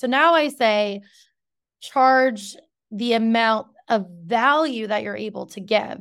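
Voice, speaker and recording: Heard on a very clean recording with a silent background, a woman with an unremarkable speaking voice uses a fairly high pitch and ordinary pitch variation. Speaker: podcast host and business owner. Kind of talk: casual interview chat.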